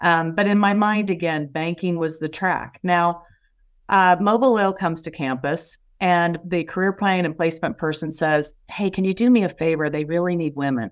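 A woman speaks in a normal speaking voice, fairly low in pitch with ordinary pitch variation, at a moderate pace on a very clean recording with a silent background. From US Midwest, Indiana. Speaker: business executive. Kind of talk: interview.

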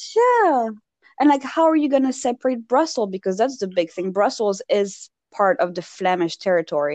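With a Parisian French accent, a woman speaks at a moderate pace with very wide pitch swings in a dry, close sound with no echo. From Belgium, raised in France (Paris). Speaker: podcast co-host. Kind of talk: casual chat. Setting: remote call. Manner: animated.

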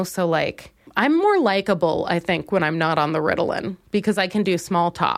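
A woman with a plain, everyday voice speaks at a moderate pace in an American accent, her pitch in the medium range. The recording is very clean, with a silent background. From Minnesota. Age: 20s. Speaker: comedian. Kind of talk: solo comedic monologue.

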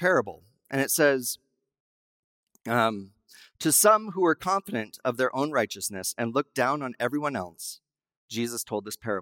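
In a Western US accent, the speaker uses lively intonation at a moderate pace. The recording is very clean with a silent background and a dry, close sound with no echo. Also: man. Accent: Western American. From Wyoming. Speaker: guest pastor. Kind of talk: sermon.

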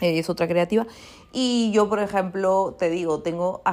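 On a very clean recording with a silent background, a woman of medium pitch speaks at a fairly slow pace with fairly even intonation. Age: 30s. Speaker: life coach and podcaster. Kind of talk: reflective solo monologue. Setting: at home, seated comfortably. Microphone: not using her usual pro microphone.

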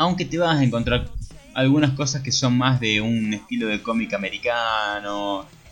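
A man speaks with a Rioplatense accent. Noticeable background noise is present. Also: medium pitch for a man, ordinary pitch variation, moderate pace. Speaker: podcast co-host. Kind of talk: casual chat.

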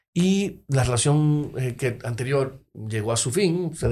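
A somewhat breathy male voice. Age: 40s. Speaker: lawyer and poet. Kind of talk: casual chat.

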